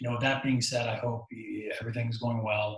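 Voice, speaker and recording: A soft-spoken man talks at a fairly quick pace, somewhat breathy. His intonation is monotone and flat. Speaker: university lecturer. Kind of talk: lecture. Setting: home recording. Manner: halting.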